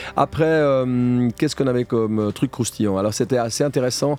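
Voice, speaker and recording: A man with ordinary pitch variation, dry and close with no echo, with music in the background. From French-speaking Switzerland (Morges). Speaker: reality TV contestant. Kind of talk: radio interview. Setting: studio.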